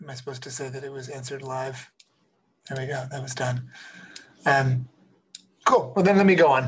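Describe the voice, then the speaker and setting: Somewhat breathy, a man speaks at a fairly quick pace and medium pitch with fairly even intonation. His loudness swings widely, and he takes long, frequent pauses. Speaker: computer science professor. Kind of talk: lecture. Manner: fast; halting, many fillers.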